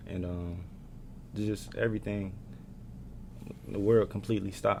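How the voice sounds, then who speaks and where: This man is soft-spoken, with a fairly low pitch and ordinary pitch variation. His pace is moderate. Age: 20s. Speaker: college basketball player. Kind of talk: casual chat. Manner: quiet.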